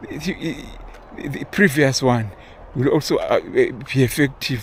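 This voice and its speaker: A man speaking at a very slow pace amid noticeable background noise. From Zimbabwe. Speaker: vlogger. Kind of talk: casual monologue. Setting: outdoors, walking. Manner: halting, many repeated words and fillers.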